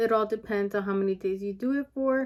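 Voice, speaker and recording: A woman's mumbling at a moderate pace, medium in pitch with a dark, mellow tone. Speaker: beauty and weight loss vlogger. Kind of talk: casual vlog monologue. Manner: hesitant with many fillers.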